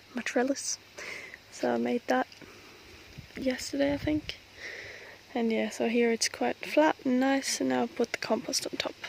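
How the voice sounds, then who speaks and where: A woman talks at a moderate pace with long, frequent pauses, the sound dry and close with no echo but with noticeable background noise. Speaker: homestead vlogger. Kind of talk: casual garden vlog walkthrough. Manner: hushed, quiet.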